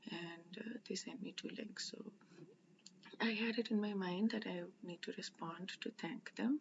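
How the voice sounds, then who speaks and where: Soft-spoken and medium-pitched, a woman speaks at a moderate pace with fairly even intonation and vocal fry. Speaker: religious study vlogger. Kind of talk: casual vlog storytelling. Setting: indoors at someone's house. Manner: halting, many fillers.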